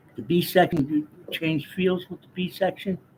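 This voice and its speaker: Somewhat breathy and relaxed in tone, this speaker talks at a fairly slow pace with an American accent. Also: man. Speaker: jazz guitar teacher. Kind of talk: casual live-stream chat answering viewers. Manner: relaxed, hesitant with fillers.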